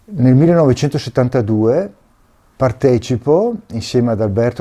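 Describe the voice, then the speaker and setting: This man's tone is dark and mellow. He speaks at a moderate pace. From northern Italy, Veneto (Alto Vicentino, Schio). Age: 60s. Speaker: retired oil well mining technician. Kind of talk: personal testimony.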